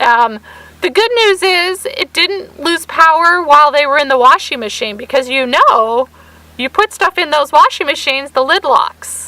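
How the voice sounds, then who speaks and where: A woman's raised, projected, high-pitched voice at a moderate pace with lively intonation. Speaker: vlogger. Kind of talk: casual chat.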